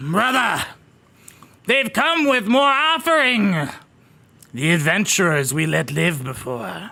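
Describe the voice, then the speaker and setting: A man's put-on character voice, high in pitch with very wide swings, fairly slow, with long, frequent pauses. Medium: actual play.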